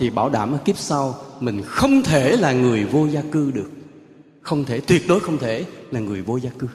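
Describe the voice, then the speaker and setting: Against noticeable background noise, a man at a medium pitch speaks at a fairly slow pace with lively intonation. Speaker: Buddhist monk giving a dharma talk. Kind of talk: sermon. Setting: temple ceremony with audience.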